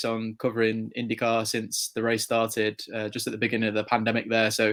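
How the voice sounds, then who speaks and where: Speaking with an English accent, a man keeps a medium pitch and monotone, flat intonation. His pace is moderate, on a very clean recording over a silent background. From England, near Chester. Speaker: motorsport journalist. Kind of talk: interview. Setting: podcast interview.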